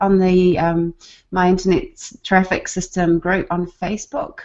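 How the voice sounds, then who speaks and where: A woman with a New Zealand accent, speaking at a fairly slow pace. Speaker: online marketer, former nurse. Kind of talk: casual group video chat.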